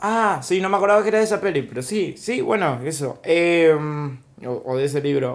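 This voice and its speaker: This man talks in a high voice. Lively intonation marks his speech. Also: moderate pace. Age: 30s. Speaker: stand-up comedian. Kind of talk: casual chat.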